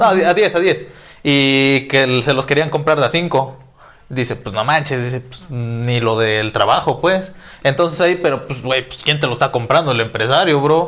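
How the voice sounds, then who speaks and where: Moderately paced speech from a man with a fairly high pitch and ordinary pitch variation. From Mexico, Guerrero. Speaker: podcast co-host. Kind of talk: casual chat. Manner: animated.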